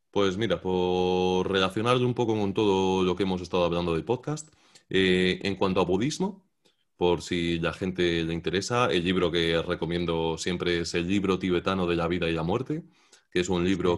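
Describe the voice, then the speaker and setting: A man speaks at a very deep, low pitch with fairly even intonation. The recording is very clean, with a silent background. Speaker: YouTube content creator. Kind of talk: interview conversation.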